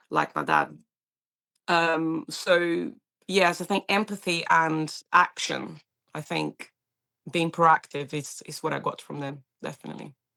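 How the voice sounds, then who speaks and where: Speaking at a fairly slow pace with a Portuguese accent, a woman leaves long, frequent pauses and makes big swings in loudness on a very clean recording with a silent background. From Brazil. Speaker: paramedic. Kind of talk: interview. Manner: animated.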